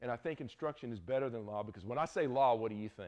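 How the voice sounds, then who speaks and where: This man has a Southern US accent and a medium pitch. His intonation is lively. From US South. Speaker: Bible teacher. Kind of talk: lecture. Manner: casual, conversational.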